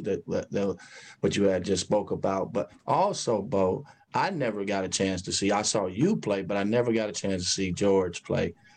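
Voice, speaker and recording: In a normal speaking voice, a man with an American accent and a fairly low pitch talks at a moderate pace. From Chicago, US Midwest. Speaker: sports podcast host.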